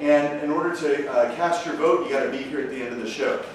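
A man speaks at a fairly quick pace amid light background noise. His voice carries a strong room echo. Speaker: show host. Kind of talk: comedy show hosting to a live audience. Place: stage.

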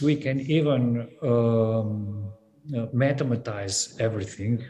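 At a very slow pace, a somewhat breathy voice with a dark, mellow tone and fairly even intonation comes through over light background noise. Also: man. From Slovenia. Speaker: gallery curator; panelist. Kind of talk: panel discussion. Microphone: video call.

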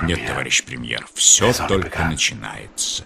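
A man's raspy, sinister put-on character voice at a very deep, low pitch and moderate pace. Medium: fan dub. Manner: sinister, quiet.

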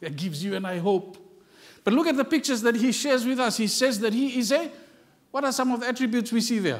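A man talks very fast in an extremely high voice with lively intonation. The background is quiet. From South Pacific. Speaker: visiting pastor. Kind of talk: sermon. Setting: church. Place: church.

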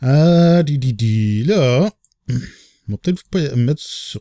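A man with a Quebec accent speaks with lively intonation and a dark, mellow tone. The recording is very clean with a silent background, and the sound is dry and close with no echo. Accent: Québécois French. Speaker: gaming YouTuber. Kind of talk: let's play commentary. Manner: animated.

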